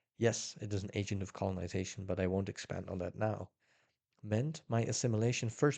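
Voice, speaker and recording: A man with a Dutch accent speaks at a fairly quick pace in a fairly low pitch, his tone dark and mellow, with ordinary pitch variation over a quiet background. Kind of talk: nonfiction book reading.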